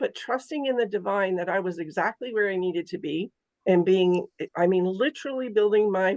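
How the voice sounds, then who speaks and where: A woman talks at a moderate pace in a plain, everyday voice of medium pitch with ordinary pitch variation. The sound is dry and close, with no echo. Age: 60s. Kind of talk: casual chat.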